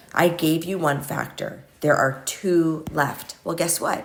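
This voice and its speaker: A woman speaks at a very deep, low pitch. Audible room echo and noticeable background noise surround her voice. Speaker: math teacher. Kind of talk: tutorial. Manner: casual.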